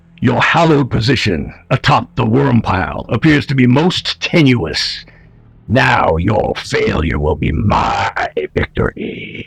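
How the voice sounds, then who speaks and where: A man uses a put-on character voice at a medium pitch and a fairly slow pace. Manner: menacing, theatrical.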